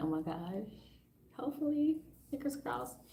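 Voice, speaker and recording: A somewhat breathy woman's voice, dark and mellow in tone, with audible room echo. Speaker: spiritual coach. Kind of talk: live stream, guided meditation. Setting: live stream at home. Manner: calm.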